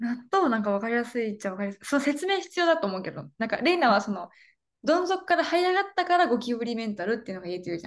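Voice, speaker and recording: A woman talks very fast in a high, animated voice with very wide pitch swings over a quiet background. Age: 20s. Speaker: podcast co-host. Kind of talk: casual chat. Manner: animated, laughing often.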